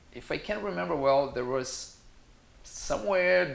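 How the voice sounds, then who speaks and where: Speaking very slowly with a Brazilian Portuguese accent, a man uses a fairly high pitch and very wide pitch swings, with audible room echo. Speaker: yoga teacher. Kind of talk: casual talk to camera.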